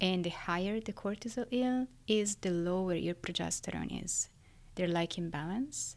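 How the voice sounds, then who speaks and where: In an Italian accent, a woman talks at a moderate pace with medium pitch and ordinary pitch variation. The recording is very clean, with a silent background. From Italy, Florence. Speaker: neuroscientist. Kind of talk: interview.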